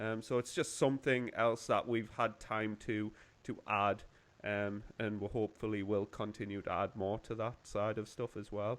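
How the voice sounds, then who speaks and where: In a monotone, flat intonation, a man delivers his words at a moderate pace. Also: fairly low pitch for a man. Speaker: gym instructor. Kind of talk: casual chat.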